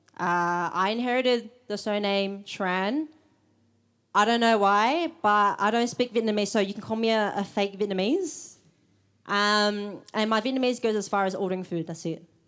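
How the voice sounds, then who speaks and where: A woman at a moderate pace, medium pitch and ordinary pitch variation, on a very clean recording with a silent background. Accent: Australian. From Australia. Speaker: event host. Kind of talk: live event introduction. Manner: halting.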